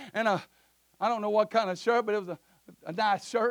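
Loud and high-pitched, a man speaks. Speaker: visiting preacher. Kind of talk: sermon. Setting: church. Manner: animated.

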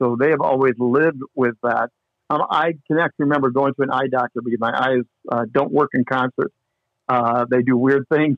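Here a man speaks with a Midwestern US accent at a medium pitch. His pace is fairly quick and his intonation fairly even. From US Midwest. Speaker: sports broadcaster and pastor. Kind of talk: casual chat. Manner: mild stutter, mostly hidden.

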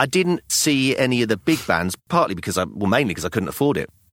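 In a very clean recording with a silent background, a man with a southern English accent talks at a very fast pace at a medium pitch, making very wide pitch swings. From London, England. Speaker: podcast co-host, theatre actor, father. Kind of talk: casual chat.

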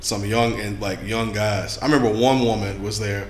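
A man speaks at a moderate pace in a fairly low voice with vocal fry. The room echo is audible. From Louisiana. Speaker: podcast host. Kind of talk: casual chat.

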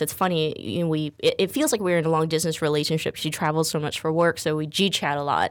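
A woman with a fairly low pitch speaks in an unremarkable speaking voice, captured in a very clean recording with a silent background. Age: 30s. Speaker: radio talk show host. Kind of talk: casual talk show chat. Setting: studio.

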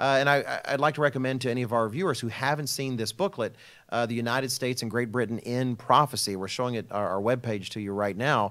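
Speaking very fast with an American accent, a man with a medium-pitched voice comes through on a very clean recording with a silent background. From Texas. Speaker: religious program host, minister. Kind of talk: casual panel discussion.

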